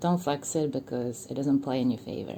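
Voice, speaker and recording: Speaking fairly slowly, a woman with a non-native accent has a dark, mellow tone. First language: not English. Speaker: commentary YouTuber. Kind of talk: monologue commentary video. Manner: casual, hesitant with fillers.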